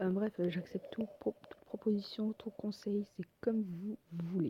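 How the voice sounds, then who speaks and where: Very slow and dark, mellow in tone, a woman's voice keeps fairly even intonation in a dry, close sound with no echo. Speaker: gaming video creator. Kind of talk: casual gameplay commentary. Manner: hesitant, many fillers.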